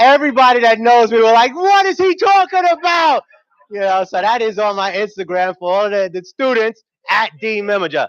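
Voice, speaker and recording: Speaking with a New York accent, a man sounds animated at a moderate pace, with an extremely high pitch and very wide pitch swings. The sound is dry and close with no echo. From New York City, South Bronx and Harlem. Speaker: TV news anchor and emcee. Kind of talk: conference emcee remarks. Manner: casual, animated.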